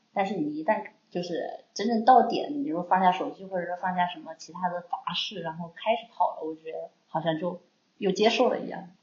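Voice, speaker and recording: A woman with an unremarkable speaking voice talks fairly quickly at medium pitch, with ordinary pitch variation and big swings in loudness. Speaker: co-host. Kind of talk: casual interview chat.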